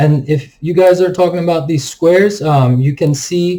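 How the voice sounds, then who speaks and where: A man speaks at a moderate pace in a somewhat breathy voice with a dark, mellow tone. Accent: non-native. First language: not English. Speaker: stock market YouTuber. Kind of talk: market analysis commentary. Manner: casual, filler-heavy (um, like).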